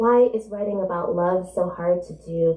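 A woman speaks at a fairly low pitch and a fairly slow pace. The room echo is audible. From New Jersey. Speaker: author. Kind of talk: book event conversation and reading aloud. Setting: stage with audience. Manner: animated. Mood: reflective, literary. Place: shop.

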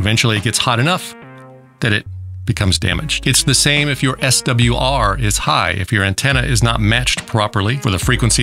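Faint music plays behind a man whose voice comes through dry, with no echo. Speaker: radio channel host. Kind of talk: explainer commentary. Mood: wry, myth-busting. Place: studio. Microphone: studio mic.

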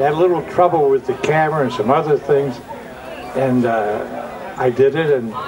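With noticeable background noise behind it, the speech moves at a moderate pace with long, frequent pauses and ordinary pitch variation. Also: man, fairly high pitch for a man. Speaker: TV horror host. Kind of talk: interview answer, anecdote. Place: open country. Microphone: handheld.

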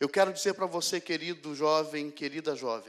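The man's fairly high voice shows ordinary pitch variation, and the background is quiet. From Rio de Janeiro, Brazil. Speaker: pastor. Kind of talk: sermon testimony. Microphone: handheld.

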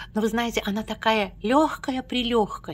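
Somewhat breathy, a woman speaks with a fairly high pitch. Her pace is fairly slow. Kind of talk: casual talk to camera. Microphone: phone near.

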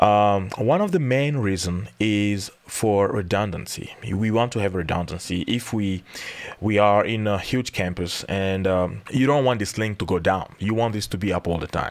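This man talks at a moderate pace in a fairly low pitch. His pitch varies in an ordinary way. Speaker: IT instructor. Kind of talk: tutorial.

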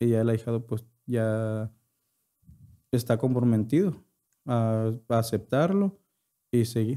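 With a dark, mellow tone and very even loudness, a man talks at a very slow pace with long, frequent pauses over a quiet background. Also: ordinary pitch variation. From Yoreme Mayo community, northwestern Mexico; northwestern Mexico. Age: 20s. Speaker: podcast guest. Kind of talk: interview; interview answer. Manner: halting. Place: studio. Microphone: studio mic.

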